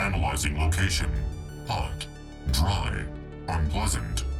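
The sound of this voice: Clear music plays behind a man doing a put-on character voice, slow and extremely low-pitched, with vocal fry and lively intonation.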